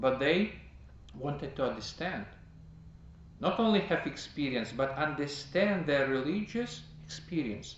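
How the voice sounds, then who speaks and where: With a non-native accent, a man speaks with long, frequent pauses amid audible room echo. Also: fairly high pitch for a man, lively intonation, fairly slow pace. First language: not English. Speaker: priest teaching a class. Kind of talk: lecture. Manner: halting.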